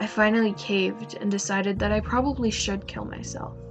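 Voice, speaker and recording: With music playing in the background, a woman speaks at a moderate pace. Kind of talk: horror story narration.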